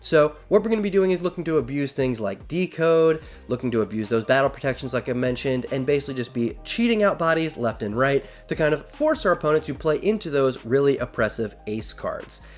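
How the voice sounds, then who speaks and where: Over music in the background, the speech moves at a fairly quick pace with lively intonation and hardly any pauses. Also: man, fairly high pitch for a man. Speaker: card game YouTuber. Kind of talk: deck profile tutorial. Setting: home recording late at night. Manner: kept quieter than usual; animated.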